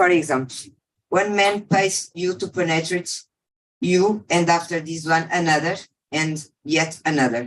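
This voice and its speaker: Speaking with a non-native accent, a woman keeps a moderate pace and ordinary pitch variation. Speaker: survivor speaker. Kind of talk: testimony. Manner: halting.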